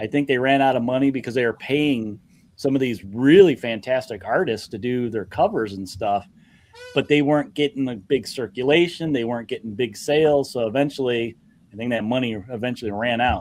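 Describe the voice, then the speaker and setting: Talking at a fairly quick pace, a man has a Midwestern accent. His pitch sits in the medium range. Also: ordinary pitch variation. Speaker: comic art show host. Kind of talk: casual chat.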